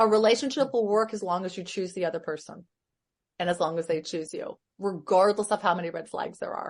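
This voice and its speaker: An unremarkable speaking voice from a woman at medium pitch, fairly quick with ordinary pitch variation, over a quiet background. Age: 60s. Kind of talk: casual chat.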